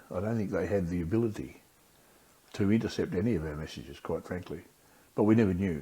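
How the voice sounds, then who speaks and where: A man with an Australian accent talks at a very fast pace, with a very deep, low pitch, ordinary pitch variation, a dark, mellow tone, and long, frequent pauses. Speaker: war veteran. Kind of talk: interview answer. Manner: casual, conversational.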